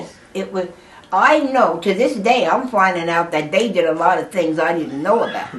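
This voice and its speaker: A woman's medium-pitched voice at a moderate pace, with lively intonation, big swings in loudness, and noticeable background noise. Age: 80s+. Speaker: mother of eleven children. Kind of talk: oral history interview answer.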